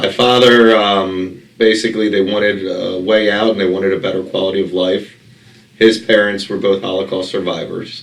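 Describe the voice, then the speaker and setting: With an American accent, a man speaks at a moderate pace in a fairly low, monotone, flat voice over noticeable background noise. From Baltimore, Maryland. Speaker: real estate investor. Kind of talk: interview. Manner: conversational, many fillers.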